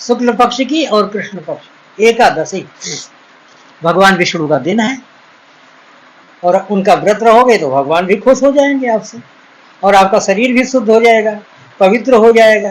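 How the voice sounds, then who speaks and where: A man's high-pitched voice shows ordinary pitch variation and long, frequent pauses against noticeable background noise. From Uttar Pradesh, India. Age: 60s. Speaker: ayurvedic doctor. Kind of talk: advice talk. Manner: earnest, pleading.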